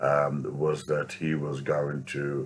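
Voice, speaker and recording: At a very slow pace, a man with a very deep, low voice speaks with a British accent. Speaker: street preacher. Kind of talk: vlog commentary. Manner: halting.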